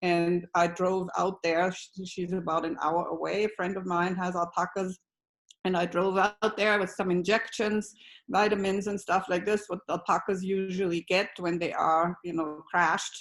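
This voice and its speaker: A woman's medium-pitched, monotone voice with flat intonation at a moderate pace, on a very clean recording with a silent background. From Austria. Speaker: alpaca rancher. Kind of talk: testimony. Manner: halting.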